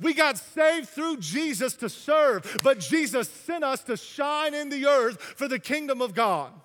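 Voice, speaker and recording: A man projects a raised voice with an extremely high pitch, ordinary pitch variation and a fairly slow pace. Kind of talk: sermon. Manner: animated, exhortatory, urging the congregation to respond; repetitive, halting cadence with stressed phrases.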